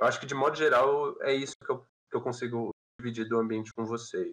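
A man at a very fast pace, with a dry, close sound and no echo. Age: 20s. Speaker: game company employee. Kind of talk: podcast interview.

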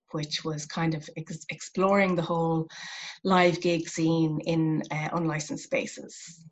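Speaking at a fairly slow pace, a woman with an Irish accent talks in a fairly low pitch with fairly even intonation. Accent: Irish (Clare). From Ireland, West Clare. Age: 40s. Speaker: arts professional. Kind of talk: casual interview.

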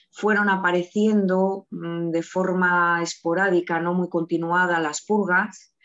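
Delivered at a very slow pace, the speech runs with hardly any pauses in a monotone, flat intonation. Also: woman, fairly low pitch for a woman. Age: 30s. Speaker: eating disorder patient in recovery. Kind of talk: testimony.

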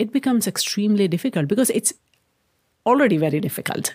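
A woman with an Indian accent at a fairly quick pace, on a very clean recording with a silent background. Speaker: tech entrepreneur. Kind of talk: interview. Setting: studio.

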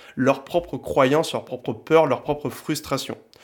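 At a medium speed, a man speaks in a fairly high register. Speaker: podcast host. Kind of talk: solo podcast monologue.

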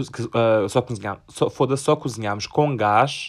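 A man talks at a medium pitch. He speaks in a European Portuguese accent. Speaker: podcaster. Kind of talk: casual chat. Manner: animated.

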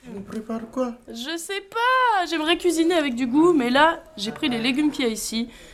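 A woman with a high pitch makes very wide pitch swings at a moderate pace, with hardly any pauses. Noticeable background noise is present. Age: 20s. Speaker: agronomy student and squat activist. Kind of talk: interview; casual chat. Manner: hesitant.

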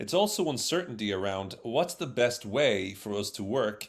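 A man speaks in a fairly low voice. He has a Dublin accent. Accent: Irish (Dublin). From Ireland, Dublin. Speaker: social psychologist and speaker. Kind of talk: interview on workplace communication.

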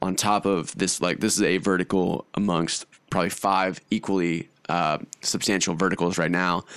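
Against a quiet background, a man talks at a moderate pace in a very deep, low voice with monotone, flat intonation. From Austin, Texas (partly raised in Hungary). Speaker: entrepreneur, brand founder. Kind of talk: casual chat. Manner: casual, filler-heavy speech.

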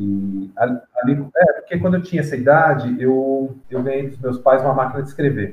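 A somewhat breathy man's voice at a medium pitch. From Brazil, São Paulo. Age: 50s. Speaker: novelist. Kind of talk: interview.

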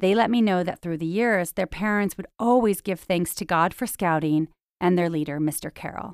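In an ordinary speaking voice, a woman talks at a moderate pace with a fairly low pitch and ordinary pitch variation, recorded very cleanly against a silent background. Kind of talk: elder life story, reflective personal memoir narration. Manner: warm, nostalgic, measured; proud, sincere, plainspoken.

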